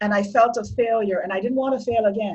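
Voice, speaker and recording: In a Barbadian accent, a woman speaks with a fairly high pitch. Her voice is somewhat breathy, with fairly even intonation. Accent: Barbadian (Bajan) Caribbean English. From Barbados. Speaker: domestic violence survivor. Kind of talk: interview testimony.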